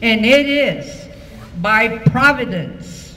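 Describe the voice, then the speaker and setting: With an American accent, the speaker's pitch swings very widely, heard with audible room echo and noticeable background noise. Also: woman. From Texas. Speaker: school alumna. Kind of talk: banquet speech. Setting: banquet hall with audience.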